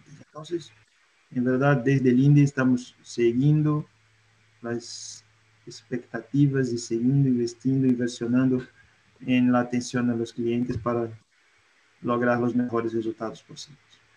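Speaking fairly slowly at a medium pitch, a man keeps a monotone, flat intonation and a dark, mellow tone, with long, frequent pauses. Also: big swings in loudness. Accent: Brazilian. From Brazil. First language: Portuguese (speaking Spanish). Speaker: industrial gas company executive. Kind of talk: panel discussion. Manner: mixes Portuguese and Spanish.

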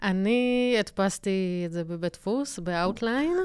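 A woman speaking at a fairly slow pace. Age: 30s. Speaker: graphic designer podcast co-host. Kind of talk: casual chat. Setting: studio.

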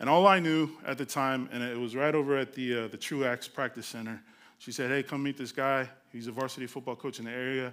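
Talking at a very fast pace, a man with an American accent and a medium pitch is heard in a very clean recording with a silent background. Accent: Los Angeles urban speech, noticeable. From Los Angeles, California (Carson, Compton, Long Beach). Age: 40s. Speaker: nonprofit youth outreach director. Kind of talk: testimony. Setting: stage with audience. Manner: animated.

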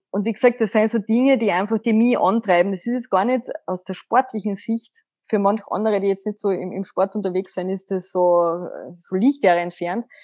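A woman's medium-pitched voice has a dark, mellow tone, recorded dry and close with no echo against a quiet background. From Austria, Carinthia. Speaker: mental coach. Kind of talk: interview.

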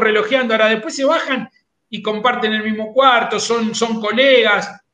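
A man with a Rioplatense accent talks at a moderate pace in an extremely high pitch. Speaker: horse racing radio host. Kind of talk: radio talk show.

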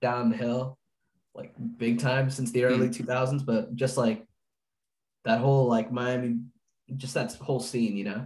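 With long, frequent pauses, a man speaks at a moderate pace in a somewhat breathy, medium-pitched voice. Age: young. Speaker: college student, podcast co-host. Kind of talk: casual chat.

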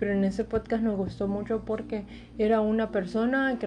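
A woman with a dark, mellow, somewhat breathy tone speaks at a moderate pace in a monotone, flat intonation. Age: 20s. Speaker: podcast host. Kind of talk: casual chat. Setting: at home during quarantine.

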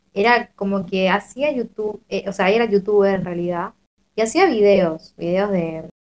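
A woman's ordinary speaking voice, medium in pitch, at a moderate pace. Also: ordinary pitch variation. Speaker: podcast panelist. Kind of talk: casual chat. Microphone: quiet, low volume.

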